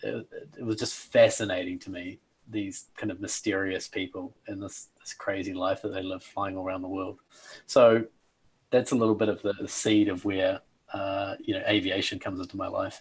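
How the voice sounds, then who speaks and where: With a New Zealand accent, a somewhat breathy man with a fairly low pitch talks in a flat monotone at a moderate pace, his loudness swinging widely. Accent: New Zealand accent, noticeable. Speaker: personal coach, former airline pilot. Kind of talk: interview, life story. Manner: hesitant fillers.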